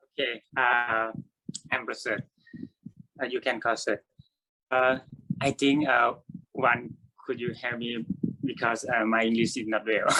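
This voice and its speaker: In a Thai accent, the voice has a bright, sharp tone and monotone, flat intonation, moving at a fairly slow pace with long, frequent pauses. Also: man, medium pitch for a man. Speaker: artist, university lecturer. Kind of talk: panel artist talk. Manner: halting.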